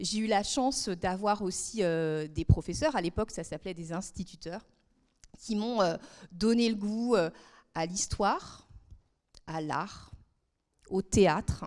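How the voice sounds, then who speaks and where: A woman speaks at a very slow pace with a medium pitch, ordinary pitch variation and long, frequent pauses, in a very clean recording with a silent background. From France, southern Brittany (Guérande). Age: 40s. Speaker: member of parliament. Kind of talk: talk to students. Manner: hesitant, many fillers.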